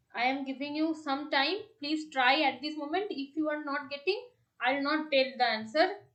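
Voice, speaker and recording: There is audible room echo, and the pitch varies in an ordinary way. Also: woman, high pitch for a woman, moderate pace. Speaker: tutor. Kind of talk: online tutorial lecture.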